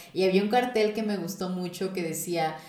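Amid audible room echo, a woman speaks at a medium pitch and a moderate pace with fairly even intonation. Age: 20s. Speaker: podcast host. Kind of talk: casual chat.

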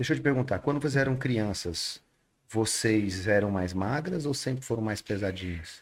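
A man's plain, everyday voice, fairly low in pitch, with lively intonation at a moderate pace. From Rondônia, Brazil. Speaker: nutritionist and podcast host. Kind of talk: podcast interview. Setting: studio.

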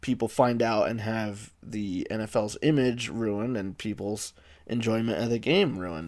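On a very clean recording with a silent background, a plain, everyday voice keeps fairly even intonation at a moderate pace. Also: man. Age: 20s. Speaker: sports podcast host. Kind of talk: solo podcast commentary. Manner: casual, with filler words.

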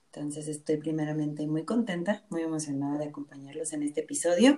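A woman talks with a very deep, low pitch. Her voice carries a dark, mellow tone. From Mexico, Nayarit. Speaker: human resources business partner. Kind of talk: interview. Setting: remote call.

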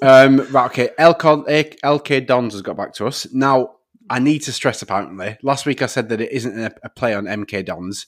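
A man with a Northern English accent at a moderate pace, medium pitch with ordinary variation, hardly any pauses, big swings in loudness, on a very clean recording with a silent background. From northern England. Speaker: podcast host. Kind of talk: casual banter.

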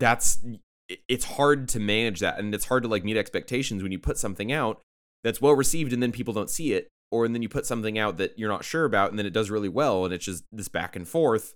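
With a normal speaking voice and an American accent, a man talks at a fairly quick pace, medium pitch and ordinary pitch variation on a very clean recording with a silent background. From San Diego, California. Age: 20s. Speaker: podcast co-host. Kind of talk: casual chat.

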